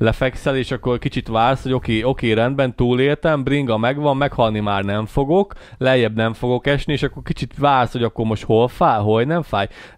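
A man speaks at a fairly quick pace with hardly any pauses and a medium pitch. The sound is dry with no echo, and the background is quiet. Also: ordinary pitch variation. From Hungary. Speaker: podcast co-host. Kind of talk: casual chat. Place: studio. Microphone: studio mic.

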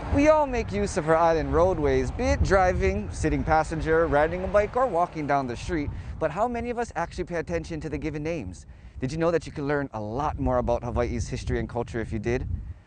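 A man talking at a very fast pace, dry sound with no echo, noticeable background noise behind him. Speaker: TV news reporter. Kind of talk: news segment stand-up. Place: street. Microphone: lapel.

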